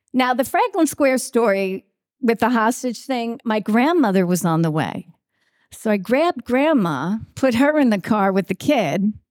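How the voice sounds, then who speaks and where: A woman with a Long Island accent speaks at a fairly high pitch, making very wide pitch swings. Her loudness stays very even, and the sound is dry and close with no echo. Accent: Long Island New York. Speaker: TV news anchor and reporter. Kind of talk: acceptance speech with humorous anecdotes. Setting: stage with audience at awards event.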